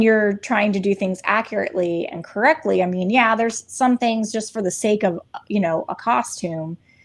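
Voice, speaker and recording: At a moderate pace, a woman talks in a medium-pitched voice with ordinary pitch variation. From Virginia, Shenandoah Valley. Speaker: podcast co-host. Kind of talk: casual chat. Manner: trained neutral diction.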